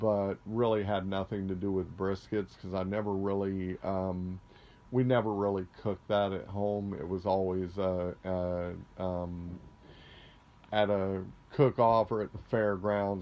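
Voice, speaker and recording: At a fairly slow pace, a man speaks with a very deep, low pitch and monotone, flat intonation. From Florida. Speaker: interviewee, home cook. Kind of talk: casual interview. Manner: halting, many fillers.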